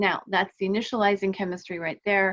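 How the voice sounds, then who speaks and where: Her voice, a woman's, sits at a medium pitch. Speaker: wellness vlogger. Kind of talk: casual talking-head explainer. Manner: fast; halting, many fillers.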